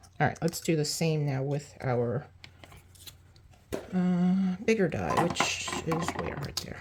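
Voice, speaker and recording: A woman speaks very slowly in a very deep, low pitch. Long, frequent pauses break her speech, and background noise is noticeable. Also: ordinary pitch variation. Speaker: card-making crafter. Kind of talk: tutorial. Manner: casual, chatty.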